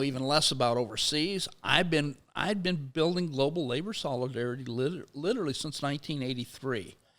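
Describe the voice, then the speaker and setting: On a very clean recording with a silent background, a man with an unremarkable speaking voice talks at a fairly quick pace, fairly high in pitch, with ordinary pitch variation. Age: 60s. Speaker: sociology professor and labor activist. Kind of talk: interview conversation. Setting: studio.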